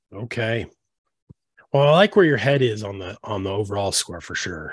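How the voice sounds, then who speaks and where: A man speaks at a fairly quick pace with lively intonation and a fairly low, somewhat breathy voice. The recording is very clean and dry, close-miked with no echo and a silent background. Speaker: sports podcast host. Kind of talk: casual sports talk, then infomercial-style ad read. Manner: animated, enthusiastic, pitchy ad-read salesman delivery.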